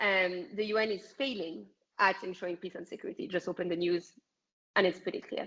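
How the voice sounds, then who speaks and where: Speaking in a French accent, a woman moves at a fairly quick pace. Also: medium pitch for a woman, fairly even intonation. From France. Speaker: political activist. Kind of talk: interview.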